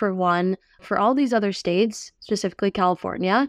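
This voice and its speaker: A woman speaks in a plain, everyday voice at medium pitch with an American accent and ordinary pitch variation, the sound dry and close with no echo over a quiet background. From New York. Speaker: tech startup CEO. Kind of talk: interview.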